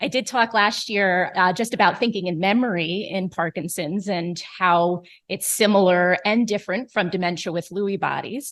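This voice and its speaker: A woman with an American accent and an unremarkable speaking voice at a medium pitch and moderate pace, with ordinary pitch variation, hardly any pauses and a quiet background. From New York. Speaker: neurologist. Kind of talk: lecture.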